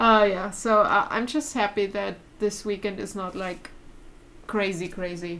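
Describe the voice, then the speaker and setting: A woman with a bright, sharp tone and medium pitch talks at a fairly slow pace. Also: ordinary pitch variation. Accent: German. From Germany. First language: German. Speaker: vlogger. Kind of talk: casual chat. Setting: live stream at home.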